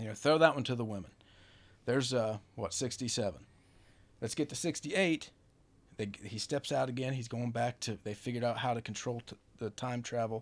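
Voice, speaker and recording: Over a very clean recording with a silent background, a man of medium pitch talks at a fairly quick pace with ordinary pitch variation and long, frequent pauses. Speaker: guest, former brewery coworker. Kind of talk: casual chat. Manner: joking, bantering.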